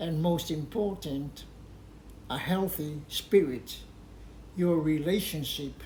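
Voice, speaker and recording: A man speaks at a fairly high pitch with ordinary pitch variation. The room echo is audible. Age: 70s. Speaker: health and faith vlogger. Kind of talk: personal advice talk.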